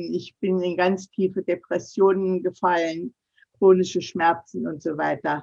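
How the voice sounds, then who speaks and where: Very slowly, a woman talks at a medium pitch. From Thuringia, Germany (Nordhausen). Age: 70s. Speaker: digital mentor and trainer for seniors. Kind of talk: interview conversation.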